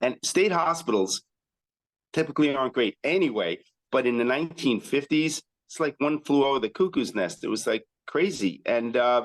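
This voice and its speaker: A man with an American accent talks at a moderate pace in an unremarkable speaking voice, fairly high and with lively intonation. The sound is dry and close, with no echo. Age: 60s. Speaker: chiropractor. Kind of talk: interview. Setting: podcast.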